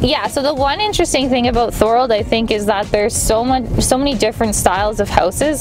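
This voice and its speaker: Over clear music in the background, a woman talks at a very fast pace with ordinary pitch variation and a dry sound with no echo. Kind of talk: interview answer. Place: car.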